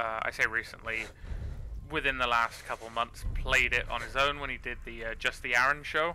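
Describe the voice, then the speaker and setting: This man speaks at a medium pitch. His tone is bright and sharp. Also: fairly even intonation, moderate pace. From England. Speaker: gaming YouTuber. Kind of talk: let's play commentary. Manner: casual, slangy. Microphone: quiet mic, low quality.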